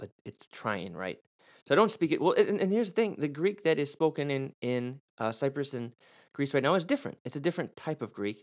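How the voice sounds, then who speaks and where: A man with an American accent talks at a fairly quick pace, his fairly high pitch swinging very widely. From US Midwest. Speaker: Bible teacher and preacher. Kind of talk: teaching podcast on Bible Greek. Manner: informal, upbeat.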